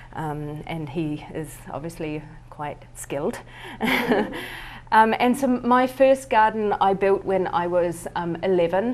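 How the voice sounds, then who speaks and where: Speaking very slowly with a New Zealand accent, a woman with a fairly low voice uses very wide pitch swings and big swings in loudness over noticeable background noise. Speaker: artist. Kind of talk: presentation. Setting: talk with live audience at a winery. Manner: hesitant, many fillers.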